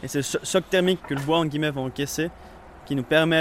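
This man has an unremarkable speaking voice, fairly high in pitch. He talks at a fairly quick pace. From Vaud, French-speaking Switzerland. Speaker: apprentice cooper. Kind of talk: interview. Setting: workshop.

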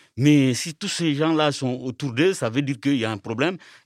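A man with a fairly high pitch and an unremarkable speaking voice talks at a moderate pace with lively intonation, in a very clean recording with a silent background and a dry, close sound with no echo. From Mali. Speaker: migrant rights activist. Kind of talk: panel discussion.

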